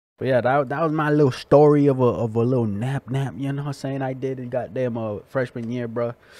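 A man's dark, mellow tone at a fairly quick pace with hardly any pauses, the sound dry with no echo. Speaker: reaction video creator. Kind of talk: casual vlog chat. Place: home room. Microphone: studio mic.

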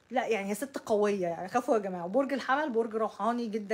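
A woman with an Egyptian accent talks at a fairly quick pace, fairly high in pitch, with lively intonation and an animated tone. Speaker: astrology YouTuber. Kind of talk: casual monologue to camera. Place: home room.

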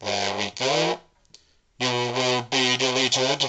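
A put-on character voice, low-to-middle in pitch, at a very slow pace. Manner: flat, monotone, threatening.

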